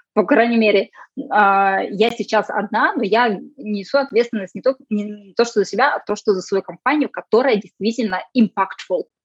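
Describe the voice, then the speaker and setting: A woman's fairly high-pitched, a normal speaking voice at a moderate pace, with ordinary pitch variation and a dry, close sound with no echo. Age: 30s. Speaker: sustainability consultant, former geneticist. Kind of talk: casual interview.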